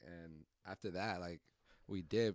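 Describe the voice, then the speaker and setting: In an American accent, a man with a very deep, low pitch speaks at a fairly slow pace with ordinary pitch variation. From Redwood City, California. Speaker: rapper. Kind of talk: casual chat.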